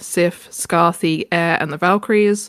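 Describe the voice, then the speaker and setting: Fairly slow speech comes from a woman with a British accent. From UK. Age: 20s. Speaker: podcast co-host, artist and writer. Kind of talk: casual self-introduction.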